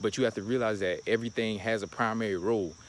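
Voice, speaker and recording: Medium-pitched male speech at a fairly quick pace. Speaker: spiritual vlogger. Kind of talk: casual monologue. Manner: fast; halting, many repetitions.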